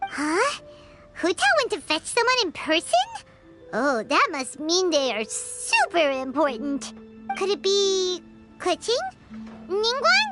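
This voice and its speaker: A put-on character voice at an extremely high pitch swings very widely in pitch at a fairly slow pace, broken by long, frequent pauses, with loud music in the background. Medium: video game. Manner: energetic, chirpy.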